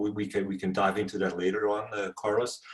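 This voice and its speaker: With a Dutch accent, a man speaks at a fairly low pitch. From Netherlands. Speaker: venture capital investor. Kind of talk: interview.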